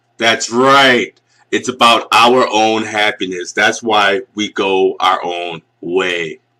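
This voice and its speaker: A man with an American accent talks at a very slow pace in a medium pitch, his tone bright and sharp and his pitch variation ordinary. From US Northeast. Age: 40s. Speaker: video commentator. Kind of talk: casual rant. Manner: animated.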